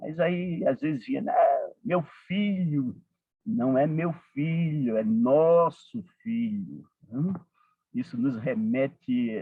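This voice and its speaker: At a very slow pace, a man with a Paraíba accent talks in a fairly high pitch with very wide pitch swings. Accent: Northeastern Brazilian (Paraíba), kept. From Northeast Brazil, Paraíba (João Pessoa). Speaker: support group coordinator, speaker. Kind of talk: talk to a support group. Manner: frequent fillers, conversational.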